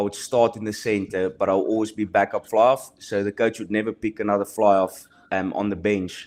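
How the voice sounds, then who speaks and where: A man speaks with a South African accent. His pitch is medium. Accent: South African Afrikaans. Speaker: professional rugby player. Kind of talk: podcast interview. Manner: halting.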